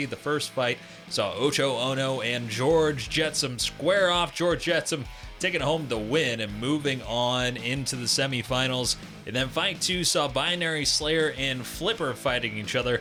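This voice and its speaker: Over music in the background, a man speaks fairly slowly at a medium pitch with ordinary pitch variation. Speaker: sports commentator. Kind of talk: sports play-by-play commentary.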